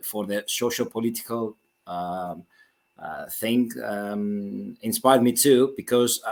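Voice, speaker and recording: A man speaks at a very slow pace with a Greek accent. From Greece. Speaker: author. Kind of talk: interview. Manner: halting, many repetitions.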